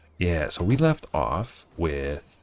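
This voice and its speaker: This man's voice has vocal fry. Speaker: game streamer. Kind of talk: live gameplay stream chat. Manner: casual, halting with fillers.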